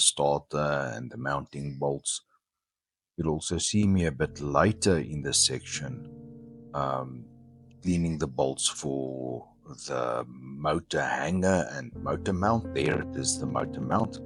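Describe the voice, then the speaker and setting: Music plays behind a man with a South African accent who speaks fairly slowly at a very deep, low pitch with ordinary variation. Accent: Afrikaans South African. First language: Afrikaans. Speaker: DIY scooter builder and video creator. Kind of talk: tutorial voice-over narration.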